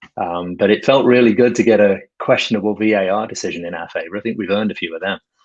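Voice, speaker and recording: With an American accent, a man talks very fast at a fairly low pitch with ordinary pitch variation. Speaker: football fan caller. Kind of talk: casual chat. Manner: halting.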